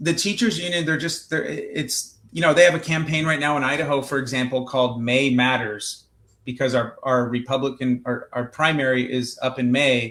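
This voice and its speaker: Moderate-paced speech in an American accent with ordinary pitch variation. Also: man, medium pitch for a man. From Southern California. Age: 40s. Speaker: state senator. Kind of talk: podcast interview. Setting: live-streamed video call.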